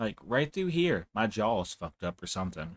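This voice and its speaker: On a very clean recording with a silent background, a man's voice sounds dry and close, with no echo. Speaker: gaming streamer. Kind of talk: live gaming stream commentary. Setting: live stream.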